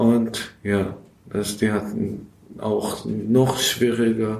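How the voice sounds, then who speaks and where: A man talks at a very slow pace and medium pitch, in a monotone, flat intonation. Room echo is audible. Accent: Persian. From Iran (Afghan family). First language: Persian (speaking German). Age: 20s. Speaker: recovering alcoholic, refugee. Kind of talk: interview. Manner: halting.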